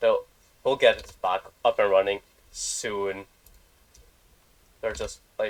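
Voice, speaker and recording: A man speaks at a very slow pace, leaving long, frequent pauses, while his loudness swings widely. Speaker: tournament caster. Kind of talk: live commentary. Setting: livestream. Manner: casual, halting.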